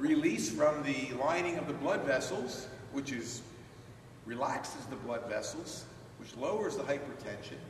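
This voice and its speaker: Loudness swings widely as a man talks at a moderate pace with ordinary pitch variation, light background noise and audible room echo. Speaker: presenter. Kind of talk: lecture. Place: hall.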